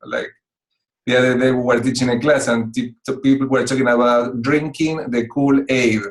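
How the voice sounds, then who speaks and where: A man with a strong Spanish accent, medium pitch, fairly even intonation and a moderate pace. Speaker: executive coach. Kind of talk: talk to online club. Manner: hesitant with fillers.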